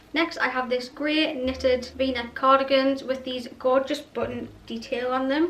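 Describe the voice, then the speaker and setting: Over noticeable background noise, a woman with a high pitch talks at a fairly slow pace in a monotone, flat intonation, with hardly any pauses. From North East England. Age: 20s. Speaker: fashion YouTuber. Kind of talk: casual talk to camera.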